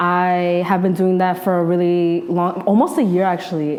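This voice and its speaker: Audible room echo surrounds a woman speaking at medium pitch with a New York accent. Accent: New York metro American English. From New Jersey (North Jersey). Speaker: journalist and podcaster. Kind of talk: casual interview chat.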